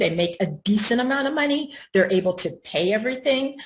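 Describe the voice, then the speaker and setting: Her voice somewhat breathy, a woman rushes along at a very fast pace with very wide pitch swings. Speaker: housing advocate panelist. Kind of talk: panel presentation. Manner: hesitant, many fillers.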